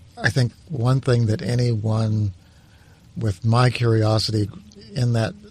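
Noticeable background noise runs under the audio. A man speaks with an American accent. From New Mexico, US. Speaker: history professor. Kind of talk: interview. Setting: studio. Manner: halting.

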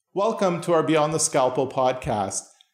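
In a Canadian accent, a man speaks with lively intonation at a moderate pace. He has a plain, everyday voice. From Canada, Toronto area (Newmarket). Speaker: podcast host, doctor. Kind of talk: interview conversation.

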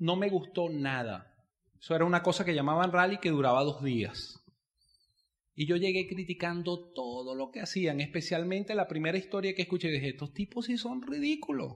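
With an animated tone, a high-pitched man speaks at a moderate pace. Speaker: network marketing business speaker. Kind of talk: seminar talk.

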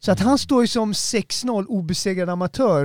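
The background is silent on a very clean recording. The voice belongs to a man. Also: dry, close sound with no echo. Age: 40s. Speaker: podcast host. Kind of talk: casual chat. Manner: animated, hype.

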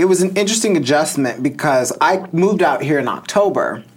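Against noticeable background noise, a man with an American accent speaks at a moderate pace with lively intonation. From US Midwest, northern Illinois. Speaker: crystal and tarot entrepreneur. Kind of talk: casual interview.

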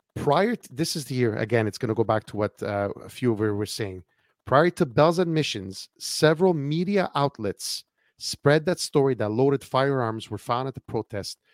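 A man's unremarkable speaking voice, medium in pitch with lively intonation and a moderate pace, on a very clean recording with a silent background and a dry, close sound with no echo. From Canada. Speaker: podcast host. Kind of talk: casual political talk-show conversation.

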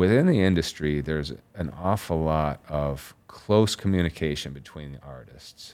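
On a very clean recording with a silent background, a man with an American accent speaks at a very deep, low pitch with ordinary pitch variation. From Chicago suburbs. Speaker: tattoo artist and painter. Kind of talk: interview.

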